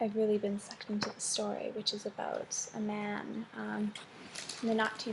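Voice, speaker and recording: Noticeable background noise behind a woman's soft-spoken voice. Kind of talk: ASMR soft-spoken talk to camera.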